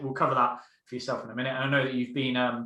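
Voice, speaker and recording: There is noticeable background noise behind this man. He talks at a very fast pace and a medium pitch. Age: 20s. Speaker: mentoring coach. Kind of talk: casual interview.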